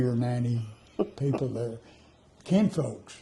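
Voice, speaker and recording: This man has a dark, mellow, somewhat breathy voice at a medium pitch. He speaks at a moderate pace, with audible room echo. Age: 90s. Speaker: elderly interviewee. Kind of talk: interview. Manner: halting.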